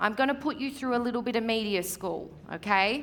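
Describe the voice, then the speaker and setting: In an Australian accent, the speaker uses an animated tone at a moderate pace. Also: woman. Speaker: real estate media coach. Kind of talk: seminar presentation. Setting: stage with audience.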